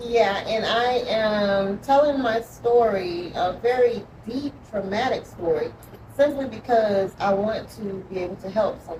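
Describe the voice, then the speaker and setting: At a fairly slow pace, a woman with a Georgia accent and a fairly high pitch speaks with ordinary pitch variation and big swings in loudness, amid noticeable background noise and audible room echo. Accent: Southern US, Georgia. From US South, Georgia. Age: 50s. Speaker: author. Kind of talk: interview testimony. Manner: halting, many 'um' fillers.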